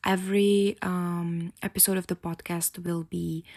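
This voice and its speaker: A woman with a Czech accent speaks at a fairly slow pace in a monotone, flat intonation, the sound dry and close with no echo. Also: very clean recording, silent background. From Czech Republic. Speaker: podcast host. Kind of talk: casual podcast monologue. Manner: halting, many fillers.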